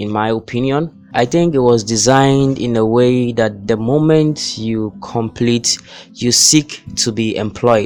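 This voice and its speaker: A man's medium-pitched voice at a fairly slow pace, with ordinary pitch variation and music in the background. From Ghana. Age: 20s. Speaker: software engineering student. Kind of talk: casual talk to camera.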